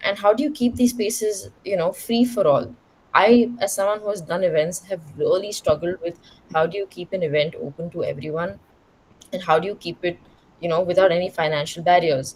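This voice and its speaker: A somewhat breathy woman speaks at a fairly quick pace with a medium pitch and ordinary pitch variation. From India, Bangalore. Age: 20s. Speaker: queer content creator and educator. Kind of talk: panel talk answering audience questions. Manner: casual, filler-heavy.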